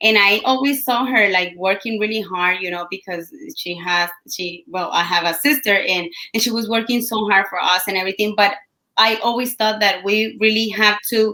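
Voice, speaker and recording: Speaking at a moderate pace, a woman has a Colombian accent. Her tone is bright and sharp, at a medium pitch. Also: ordinary pitch variation. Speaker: entrepreneur and team leader. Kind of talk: interview. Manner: halting.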